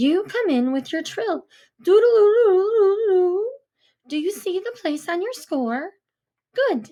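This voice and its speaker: A woman's put-on character voice, squeaky and extremely high-pitched, at a fairly slow pace with long, frequent pauses. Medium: read story. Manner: bright, instructive.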